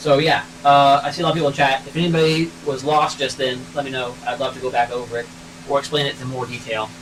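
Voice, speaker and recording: A fairly high-pitched man talks very fast with ordinary pitch variation, with audible room echo and noticeable background noise. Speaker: car mechanic YouTuber, engineer. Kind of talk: live stream tech talk in garage. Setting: garage.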